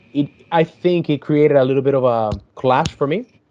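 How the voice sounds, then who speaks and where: A man speaks with a Spanish accent in a fairly high voice for a man. His tone is dark and mellow, and his intonation stays fairly even. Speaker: YouTuber, podcast guest. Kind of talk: casual chat. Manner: halting.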